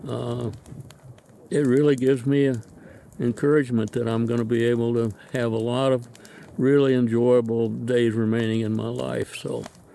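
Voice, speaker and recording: Long, frequent pauses break up a man's moderate-paced speech, delivered at a medium pitch in a monotone, flat intonation. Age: 80s+. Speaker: long-distance hiker. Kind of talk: interview. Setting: outdoors. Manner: halting.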